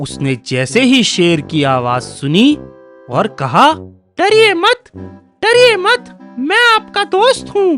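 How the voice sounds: Faint music plays behind a man doing a put-on character voice. He talks very slowly with hardly any pauses.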